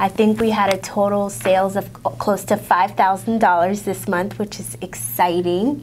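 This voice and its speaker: A woman speaks at a fairly slow pace with lively intonation. Light background noise is present. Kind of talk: interview conversation. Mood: cheerful, proud. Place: studio. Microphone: lapel.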